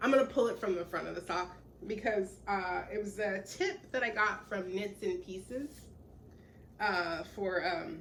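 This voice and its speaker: Using an unremarkable speaking voice, a woman talks at a fairly slow pace. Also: medium pitch for a woman, ordinary pitch variation. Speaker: knitting podcaster. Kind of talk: casual chat.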